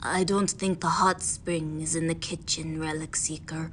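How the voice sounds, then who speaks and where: In a put-on character voice, a woman talks at a very deep, low pitch and a moderate pace. Background noise is clear. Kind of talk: audio fanfiction reading.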